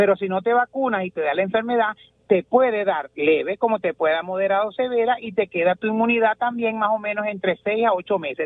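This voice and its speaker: At a very fast pace, a high-pitched man speaks with ordinary pitch variation. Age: 60s. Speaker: pediatrician. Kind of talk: radio interview.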